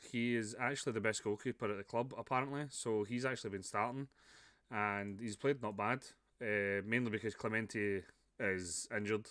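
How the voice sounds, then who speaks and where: A Scottish accent with fairly even intonation at a moderate pace. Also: man, fairly low pitch for a man, very clean recording, silent background. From Scotland. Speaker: video game streamer. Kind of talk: gameplay commentary. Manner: casual, chatty with fillers.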